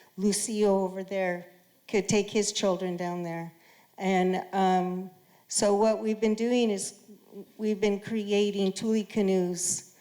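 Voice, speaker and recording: A woman speaks very slowly at a medium pitch, her dark, mellow tone held in a monotone, flat intonation. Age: 60s. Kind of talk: panel discussion answer. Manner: halting, many fillers.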